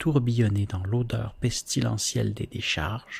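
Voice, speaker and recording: A soft-spoken man talks at a fairly slow pace in a calm tone. His voice is somewhat breathy, with ordinary pitch variation. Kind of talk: poetry reading; ASMR reading. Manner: soft-spoken, calm.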